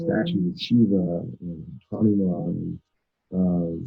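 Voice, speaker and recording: With music in the background, a soft-spoken man talks in a very deep, low pitch. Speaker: spiritual festival organizer, yogi. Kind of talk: interview answer.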